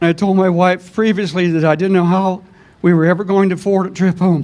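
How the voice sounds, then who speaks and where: This man has a high voice and an American accent. He talks fairly quickly in a flat monotone at very even loudness. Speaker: army veteran. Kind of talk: testimony.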